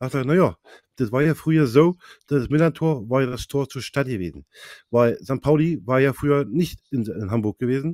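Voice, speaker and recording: The voice shows ordinary pitch variation, and the sound is dry with no echo. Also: man, moderate pace, quiet background. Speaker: football fan insider; fan podcast host. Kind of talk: casual chat. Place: home room. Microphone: clear new mic; studio mic.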